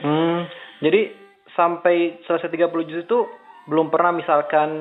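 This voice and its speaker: At a moderate pace, a man is talking. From Indonesia, West Java (Bandung). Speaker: Islamic preacher and interviewer. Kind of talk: remote interview. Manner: casual.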